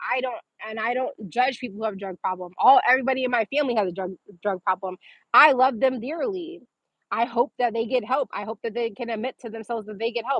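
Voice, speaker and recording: A woman speaks very fast in an animated tone. Her pitch is fairly high, with ordinary pitch variation. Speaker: entrepreneur livestreamer. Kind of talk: casual livestream chat reading comments.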